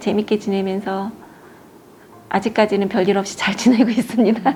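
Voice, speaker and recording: Somewhat breathy and dark, mellow in tone, a woman's medium-pitched voice stays monotone and flat. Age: 60s. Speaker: cancer patient. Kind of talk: interview. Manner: hesitant, with fillers.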